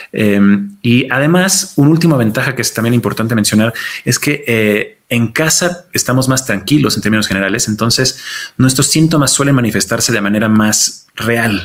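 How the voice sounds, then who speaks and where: Moderate pace and ordinary pitch variation from a man with a medium-pitched voice. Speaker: geriatrician. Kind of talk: interview. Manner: halting.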